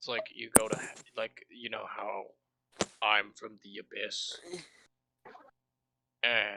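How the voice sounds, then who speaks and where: Raspy and put on as a character voice, the speech comes at a fairly slow pace with long, frequent pauses. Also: man, medium pitch for a man. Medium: actual play. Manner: casual, offhand.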